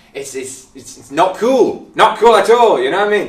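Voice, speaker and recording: A man talks in an animated, dramatic tone, with audible echo from the room. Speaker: paramedic. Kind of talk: angry rant about bad first aid, mimicking bystanders. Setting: video recording to camera. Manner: exasperated, sarcastic, dramatic; animated, mocking voices. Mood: humorous exasperation. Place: empty room.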